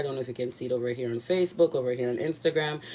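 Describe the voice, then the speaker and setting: Through noticeable background noise comes a voice with a Jamaican accent and fairly even intonation. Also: woman. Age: young. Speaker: cooking vlogger. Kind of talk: cooking tutorial. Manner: casual, rambling with many fillers.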